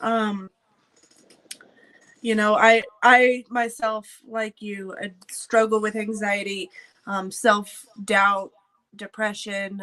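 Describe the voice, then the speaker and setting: A woman at a very slow pace, fairly high in pitch, with a bright, sharp tone and fairly even intonation. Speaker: combat sports show host. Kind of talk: casual chat. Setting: live stream. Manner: loud.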